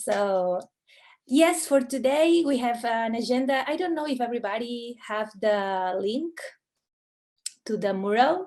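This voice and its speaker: A woman's high-pitched voice with a non-native accent, fairly slow and lively in intonation, broken by long, frequent pauses. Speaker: communication specialist. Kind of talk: workshop presentation.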